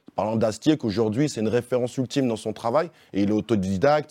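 This man talks at a very fast pace with a dark, mellow tone, medium pitch and ordinary pitch variation. The sound is dry and close with no echo over a quiet background. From Vénissieux, near Lyon, France. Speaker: stand-up comedian. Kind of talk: interview.

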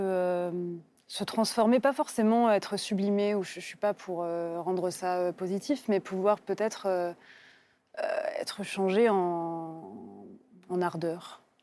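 Delivery is very slow, with long, frequent pauses and ordinary pitch variation. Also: woman. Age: 30s. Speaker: novelist. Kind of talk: TV literary talk show interview.

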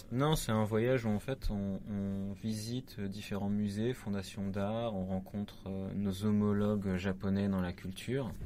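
Dark, mellow tone with fairly even intonation and a fairly slow pace. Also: man, fairly low pitch for a man. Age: 30s. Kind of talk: interview.

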